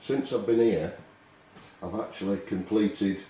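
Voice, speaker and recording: A man speaks with a Lancashire accent at a fairly low pitch. Noticeable background noise runs underneath. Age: 60s. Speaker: painter. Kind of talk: tutorial. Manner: halting.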